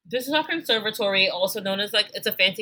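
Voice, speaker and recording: Bright and sharp in tone, a woman talks at a fairly quick pace with an animated delivery and very wide pitch swings. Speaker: podcast co-host discussing a TV show. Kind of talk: casual chat.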